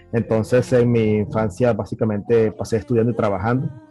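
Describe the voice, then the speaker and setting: Music plays in the background as a man of medium pitch speaks at a fairly quick pace. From Nicaragua, Managua. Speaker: software architect. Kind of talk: interview. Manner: halting.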